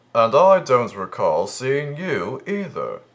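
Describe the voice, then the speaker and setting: A man's high-pitched, put-on character voice at a fairly slow pace. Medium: audio drama.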